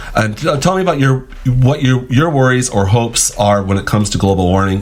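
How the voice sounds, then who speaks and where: Over noticeable background noise, a man talks at a fairly quick pace. His pitch is medium and his intonation lively. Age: 60s. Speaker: radio host. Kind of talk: radio interview.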